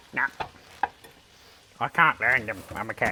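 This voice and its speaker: A man puts on a character voice. He speaks at medium pitch and a moderate pace. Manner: silly.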